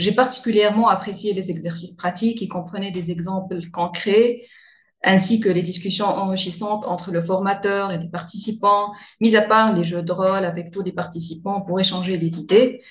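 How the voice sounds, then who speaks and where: Her medium-pitched voice is somewhat breathy, and the woman keeps her intonation fairly even. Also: moderate pace. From Tunisia. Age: young. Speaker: young lawyer. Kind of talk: interview.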